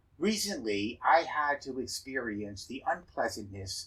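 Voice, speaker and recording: A man's somewhat breathy voice has lively intonation and moves at a fairly slow pace. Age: 70s. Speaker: dentist and educator. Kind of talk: scripted talk.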